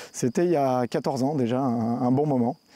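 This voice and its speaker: With a dark, mellow tone, a man speaks at a moderate pace and fairly even intonation, the sound dry with no echo. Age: 40s. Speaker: energy transition network worker. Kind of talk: personal testimony. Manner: hesitant with fillers and repetitions. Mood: calm, reflective. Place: garden.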